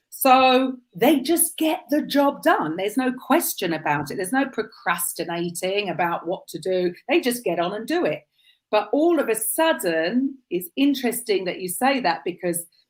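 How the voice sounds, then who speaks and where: Using very wide pitch swings, a woman with a British accent talks at a moderate pace and a fairly high pitch. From UK. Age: 50s. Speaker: podcast host. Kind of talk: interview chat.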